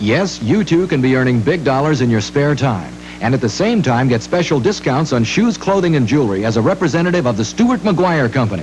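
A man speaks at a fairly quick pace with hardly any pauses. Light background noise sits behind him. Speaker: presenter. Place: studio.

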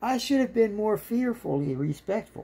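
A somewhat breathy woman's voice, dark and mellow in tone, with very wide pitch swings. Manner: animated, scornful, sarcastic and sweary; ranting, rhetorical, mocking tone. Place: home room. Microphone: phone near.

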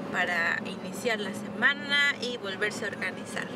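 The voice shows ordinary pitch variation in a dry sound with no echo, set against loud background noise. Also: woman. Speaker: vlogger. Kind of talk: casual vlog chat. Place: car. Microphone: phone near.

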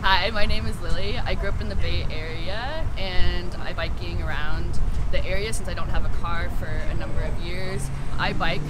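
Loud background noise fills this recording. Over it, a woman speaks at a moderate pace. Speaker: interviewee. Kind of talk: interview answer. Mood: earnest, slightly concerned. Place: street.

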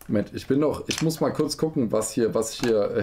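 Light background noise sits behind this man's voice. He speaks at a very fast pace with a dark, mellow tone. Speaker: toy review streamer. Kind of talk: live stream building commentary. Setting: live stream. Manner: animated. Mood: playful, self-mocking. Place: home room.

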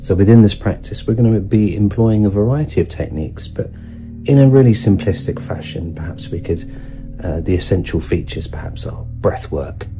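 A man's fairly low voice at a fairly quick pace, with clear music in the background. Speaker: sound healing teacher. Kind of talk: guided meditation introduction.

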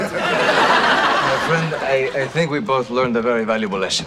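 Against loud background noise, the speaker talks at a fairly slow pace with a non-native accent. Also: man. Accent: noticeable foreign. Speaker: sitcom character. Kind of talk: scripted comedy dialogue. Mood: mock-wise, teasing. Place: office.

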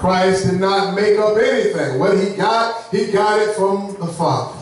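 A man speaks at a fairly slow pace with ordinary pitch variation, his voice ringing with strong room echo over light background noise. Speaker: preacher. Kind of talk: sermon. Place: church.

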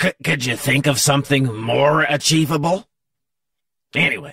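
A fairly high-pitched man speaks in a raspy voice. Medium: comedy sketch. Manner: meandering, sardonic.

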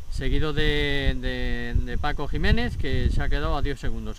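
A man at a moderate pace, with loud background noise and a dry sound with no echo. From Asturias, Spain. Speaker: motorsport video reporter. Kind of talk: casual on-location commentary. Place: open country. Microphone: phone near.

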